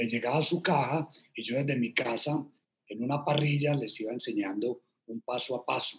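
Somewhat breathy, a man with a Medellín accent talks at a fairly slow pace with ordinary pitch variation. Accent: Medellín (paisa). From Colombia, Medellín. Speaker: entrepreneur, restaurant co-founder. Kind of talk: interview.

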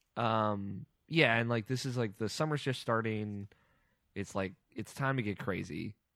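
A man with a normal speaking voice, medium pitch, ordinary pitch variation and moderate pace, in a very clean recording with a silent background. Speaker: podcast co-host. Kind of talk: casual chat.

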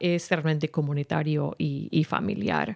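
A woman with an English accent speaks fairly slowly at a very deep, low pitch. The recording is very clean, with a silent background. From San Rafael, California (US). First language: English (speaking Spanish). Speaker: event organizer and music teacher. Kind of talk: radio interview.

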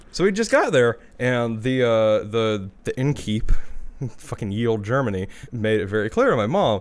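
A man with an unremarkable speaking voice talks at a medium pitch with ordinary pitch variation on a very clean recording with a silent background. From small-town US. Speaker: podcast co-host. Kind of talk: casual chat.

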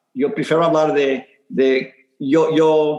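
Here a man speaks at a fairly high pitch. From Houston, Texas. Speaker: muralist. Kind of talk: interview. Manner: halting, many repetitions.

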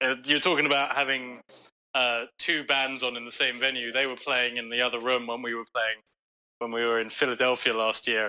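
A man with a London accent, a bright, sharp tone and monotone, flat intonation at a moderate pace. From London, England. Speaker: bass player in a rock band. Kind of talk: casual interview chat.

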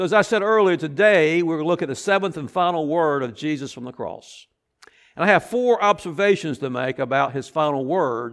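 An ordinary speaking voice moves at a moderate pace with lively intonation on a very clean recording with a silent background. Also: man. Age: 60s. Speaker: pastor. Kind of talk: sermon.

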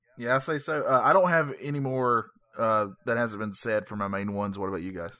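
Bright and sharp in tone, a man talks at a fairly quick pace in an animated way with lively intonation. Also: medium pitch for a man. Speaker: wrestling podcast host. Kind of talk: casual chat. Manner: joking, animated.

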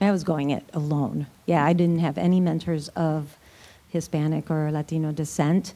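A woman with an American accent, a very deep, low pitch, a dark, mellow tone, monotone, flat intonation and a moderate pace. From US Midwest. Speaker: panelist. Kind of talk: panel discussion. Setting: stage with audience.

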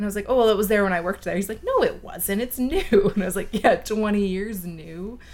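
A plain, everyday voice with a Canadian accent, a fairly quick pace and ordinary pitch variation. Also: woman, medium pitch for a woman. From Chilliwack, British Columbia, Canada. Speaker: wine YouTuber. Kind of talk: casual chat.

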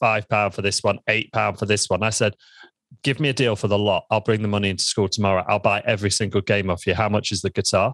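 With no echo at all, the recording sounds dry and close, and the background stays quiet. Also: man. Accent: East Midlands. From Lincoln, England. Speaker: membership business founder. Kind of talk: interview.

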